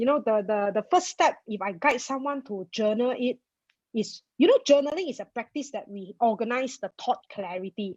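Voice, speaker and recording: A woman with a Malaysian accent speaks at a fairly high pitch, her loudness swinging widely. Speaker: personal finance blogger. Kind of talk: interview. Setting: webinar video call. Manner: fast.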